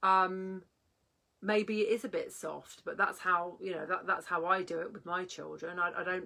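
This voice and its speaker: A woman talks in a bright, sharp tone with monotone, flat intonation. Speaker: parenting coach. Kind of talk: vlog talk. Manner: loud; halting.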